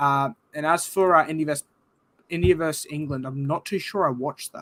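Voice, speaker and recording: With a dry, close sound and no echo, a man talks at a fairly quick pace, his fairly high voice showing ordinary pitch variation and big swings in loudness. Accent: Australian. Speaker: sports podcast host. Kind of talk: casual chat.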